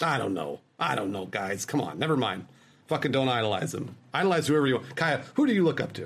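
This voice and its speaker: A man talks at medium pitch with an American accent and vocal fry. His pitch swings very widely, and his pace is fairly quick. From Los Angeles, US. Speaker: Twitch streamer. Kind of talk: casual chat.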